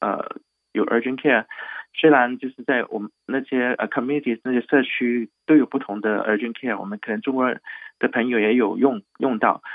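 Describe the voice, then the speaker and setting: A man at a medium pitch, with fairly even intonation and a moderate pace. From Hong Kong. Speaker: doctor at an urgent care clinic. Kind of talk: radio interview.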